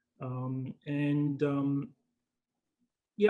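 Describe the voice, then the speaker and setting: A man speaks with a fairly high pitch. He has a London accent. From London, England. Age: 60s. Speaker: retired broker. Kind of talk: casual interview chat. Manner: halting, many fillers.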